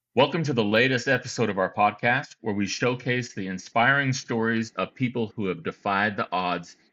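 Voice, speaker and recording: An ordinary speaking voice shows ordinary pitch variation. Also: man. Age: 50s. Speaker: podcast host. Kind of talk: scripted intro; interview.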